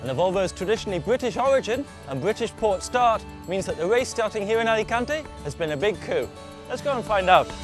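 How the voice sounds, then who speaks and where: A high-pitched man at a very fast pace, with music in the background. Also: lively intonation. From British. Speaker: TV presenter. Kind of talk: travel show presenting.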